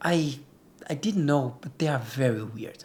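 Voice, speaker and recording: Someone with a Portuguese accent speaks at a moderate pace over noticeable background noise. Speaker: travel vlogger and surfer. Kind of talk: vlog narration. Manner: casual.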